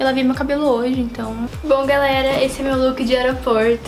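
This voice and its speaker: Clear music plays in the background. Over it, a woman speaks with a high pitch at a moderate pace. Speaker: lifestyle vlogger. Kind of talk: casual vlog chat.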